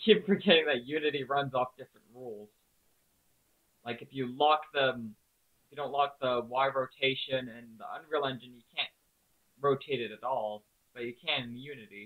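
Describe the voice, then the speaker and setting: The speech is mumbled at a moderate pace, with long, frequent pauses. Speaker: game developer streamer. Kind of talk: live stream tutorial. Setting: live stream at computer. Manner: mumbling; quiet.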